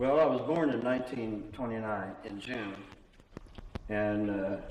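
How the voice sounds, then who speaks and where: Speaking at a fairly slow pace with an American accent and ordinary pitch variation, the voice carries audible room echo and noticeable background noise. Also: man, medium pitch for a man. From Indiana, US Midwest. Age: 90s. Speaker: church elder. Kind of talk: oral history interview. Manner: halting.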